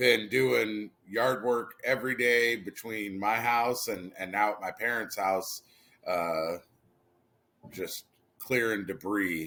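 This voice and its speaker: With a bright, sharp tone and a fairly low pitch, a man speaks at a very slow pace. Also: ordinary pitch variation. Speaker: podcast co-host. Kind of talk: casual chat. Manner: low energy.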